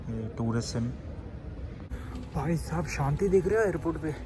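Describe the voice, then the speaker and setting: Soft-spoken, a man talks over noticeable background noise. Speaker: travel vlogger. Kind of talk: casual vlog narration. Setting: airport. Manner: soft-spoken, speaking quietly.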